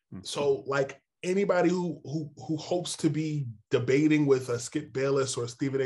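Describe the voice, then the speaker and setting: A man with a New York accent, somewhat breathy, at a fairly high pitch, moderate pace and ordinary pitch variation. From New York City and northern New Jersey. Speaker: NBA insider, sports journalist. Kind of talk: interview.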